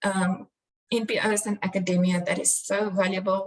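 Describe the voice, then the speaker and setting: A woman talks at a medium pitch with a somewhat breathy quality. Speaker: crime analyst. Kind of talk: conference presentation.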